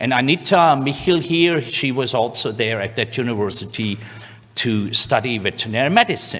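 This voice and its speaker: A man with a German accent talks at a moderate pace, his pitch swinging very widely. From Germany, Swabia (near Stuttgart). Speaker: veterinary scientist, lecturer. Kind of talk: lecture. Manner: halting, with many fillers.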